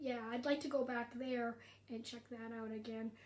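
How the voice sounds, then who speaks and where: This woman has a Canadian accent and a high pitch. She speaks at a fairly slow pace with monotone, flat intonation. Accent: generic Canadian. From Canada. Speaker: stand-up comedian. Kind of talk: casual livestream chat. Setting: social media livestream.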